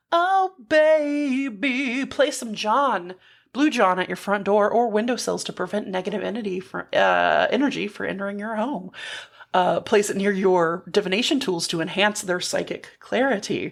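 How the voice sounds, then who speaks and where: With an American accent, a woman speaks at a moderate pace in a medium pitch, her intonation lively and touched with vocal fry. The recording is very clean, with a silent background. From Texas. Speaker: podcast co-host. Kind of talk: casual chat.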